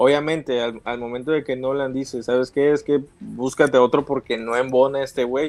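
A man with a Mexican accent, medium pitch and monotone, flat intonation, at a moderate pace with hardly any pauses. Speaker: film fan co-host. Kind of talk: casual chat. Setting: live stream.

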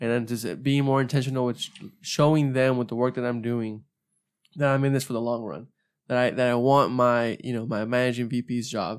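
Speaking fairly quickly, a man keeps a medium pitch and fairly even intonation. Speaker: professional association leader. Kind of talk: casual chat. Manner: fast.

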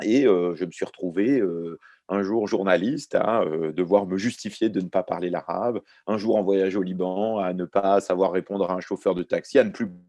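A man speaks in a dark, mellow, fairly low voice at a moderate pace. The sound is dry and close with no echo, over a quiet background. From Lebanon, raised in France from age 4. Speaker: journalist and author. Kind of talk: round-table talk.

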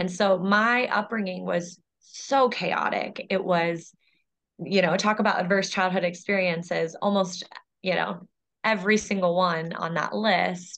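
The speaker has an ordinary speaking voice at a fairly slow pace. The intonation stays fairly even. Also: woman, medium pitch for a woman. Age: 20s. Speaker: lobbyist and nonprofit founder, foster care survivor. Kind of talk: personal testimony in interview.

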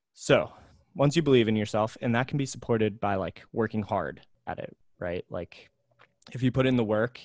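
In an American accent, a man talks at a fairly quick pace in an ordinary speaking voice, medium in pitch with ordinary pitch variation, the sound dry and close with no echo. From US, New Jersey, Pennsylvania and California. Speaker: accountant. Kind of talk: casual chat.

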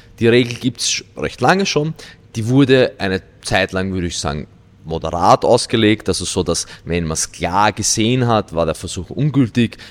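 A man with an unremarkable speaking voice, fairly low in pitch, with lively intonation at a moderate pace, on a very clean recording with a silent background. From Austria, Vienna. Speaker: weightlifting coach. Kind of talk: casual interview.

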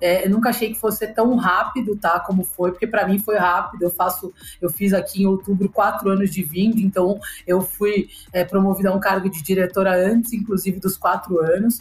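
A woman speaks at a medium pitch with very even loudness and a monotone, flat intonation while music plays in the background. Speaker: digital business leader. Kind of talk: casual chat.

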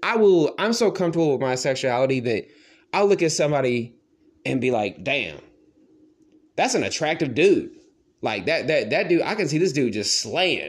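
The voice has vocal fry and very wide pitch swings, moving at a moderate pace with long, frequent pauses. The recording is very clean, with a silent background. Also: man, fairly high pitch for a man. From small town. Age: 20s. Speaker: podcast host. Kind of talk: solo casual monologue.

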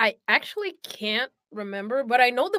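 A woman speaks with a Brazilian accent at a moderate pace on a very clean recording with a silent background. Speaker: voice actor. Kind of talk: casual chat.

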